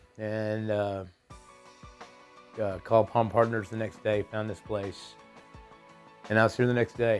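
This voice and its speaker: A man with a Southern US accent speaks fairly slowly and low in pitch, in a flat monotone, with long, frequent pauses. Music plays in the background. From Texas. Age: 40s. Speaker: addiction treatment patient. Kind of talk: testimonial interview. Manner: hesitant, casual.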